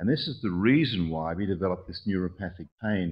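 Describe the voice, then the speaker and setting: A man speaks with an Australian accent at a fairly quick pace. His voice is very deep and low-pitched, with lively intonation. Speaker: orthopedic surgeon. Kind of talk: conference talk. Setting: conference presentation. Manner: fast; hesitant with fillers.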